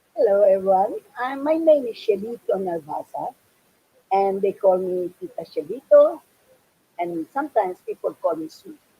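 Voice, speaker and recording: The speaker goes at a moderate pace with very wide pitch swings and big swings in loudness, in a dry, close sound with no echo. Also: woman, medium pitch for a woman. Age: 80s+. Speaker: youth camp volunteer veteran. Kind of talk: interview.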